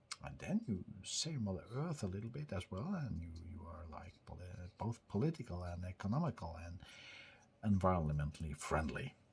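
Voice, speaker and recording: A man's very deep, low, somewhat breathy voice with very wide pitch swings and big swings in loudness. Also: moderate pace. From northern Norway. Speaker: tech hobbyist vlogger. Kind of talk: casual talk to camera. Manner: halting, many repeated words.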